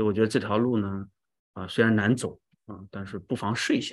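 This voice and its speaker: A man speaks at a moderate pace in a fairly low voice, his intonation fairly even, over a quiet background. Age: 40s. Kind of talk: testimony.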